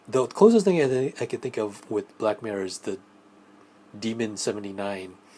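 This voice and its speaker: A soft-spoken man with a medium pitch talks at a moderate pace. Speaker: solo film podcaster. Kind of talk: casual monologue review. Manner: halting, many fillers.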